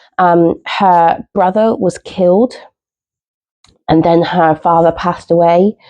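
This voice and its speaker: A woman with a southern English accent and fairly even intonation. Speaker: book vlogger. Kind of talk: casual vlog chat. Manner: hesitant, many fillers.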